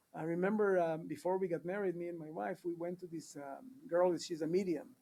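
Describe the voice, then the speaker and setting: With a dark, mellow tone and high pitch, a man talks at a fairly quick pace, using ordinary pitch variation and big swings in loudness. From Israel, kibbutz near the Jordan Valley. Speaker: podcast guest. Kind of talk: casual interview chat.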